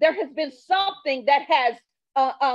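An animated voice with very wide pitch swings comes through against a quiet background. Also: woman. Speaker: preacher. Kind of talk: sermon. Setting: church. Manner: animated, fervent call-and-response preaching; emphatic, repeats phrases for rhythm. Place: church. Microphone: handheld.

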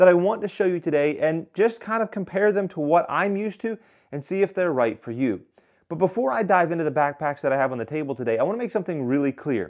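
Over a quiet background, a man speaks at a very fast pace. His voice is high-pitched with lively intonation. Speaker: hunting gear reviewer. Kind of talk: gear review talk. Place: home room. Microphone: lapel.

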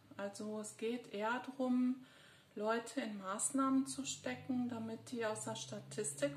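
A woman with a fairly high pitch speaks at a very slow pace and with lively intonation, amid audible room echo and light background noise. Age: 50s. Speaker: psychologist and video blogger; psychologist vlogger. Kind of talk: personal monologue. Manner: hesitant, many filler sounds. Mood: serious, concerned. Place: home room. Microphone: phone near.

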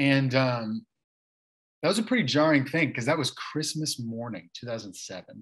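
A man talks at a fairly slow pace. His intonation is lively, and the background is quiet. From Kansas City, Missouri; Missouri. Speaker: church elder; interview guest. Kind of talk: casual interview. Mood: relaxed, reflective. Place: home room. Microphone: video call.

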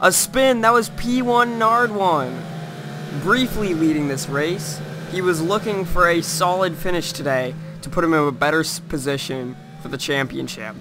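Talking at a moderate pace over noticeable background noise, a man uses a high voice with lively intonation. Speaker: sim racing commentator. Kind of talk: live race commentary.

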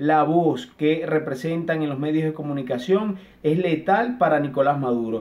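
At a fairly slow pace, a man with a fairly high pitch talks with ordinary pitch variation. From Venezuela. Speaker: journalist. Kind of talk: interview; interview answer. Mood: earnest, critical.

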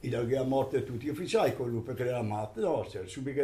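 Against noticeable background noise, a man at a medium pitch talks at a very fast pace, with ordinary pitch variation. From Trentino, northern Italy. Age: 80s+. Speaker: war veteran. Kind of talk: interview answer. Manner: elderly storyteller, rambling.

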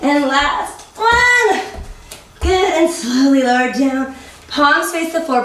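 Speaking very slowly in a high pitch, a woman uses lively intonation against audible room echo. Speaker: fitness instructor. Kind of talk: guided workout instruction, counting reps aloud while coaching through planks. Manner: upbeat, encouraging coach with playful pushy quips; rhythmic counting, brisk directive cues. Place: home room.

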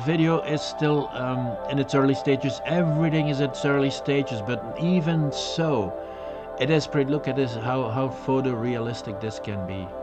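A man at a moderate pace with clear music in the background. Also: ordinary pitch variation. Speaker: webcast host. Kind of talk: informal tech webcast talk.

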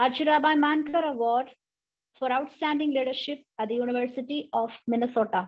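A woman with a high pitch speaks against a quiet background. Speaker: college professor and nun; college professor. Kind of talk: formal introduction. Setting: video call. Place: home room. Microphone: video call.

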